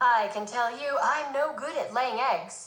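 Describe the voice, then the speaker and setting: Using a put-on character voice, a woman talks at a fairly slow pace and at a high pitch. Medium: read story.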